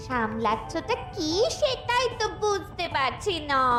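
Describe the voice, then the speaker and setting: A woman speaks very slowly in a cartoonish character voice at an extremely high pitch, with loud music in the background. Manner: chatty, fussing.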